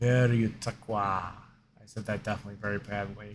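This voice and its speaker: A man's voice sits fairly low in pitch. Behind him, music is playing. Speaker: gaming youtuber. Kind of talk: casual card opening commentary. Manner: hesitant, many fillers.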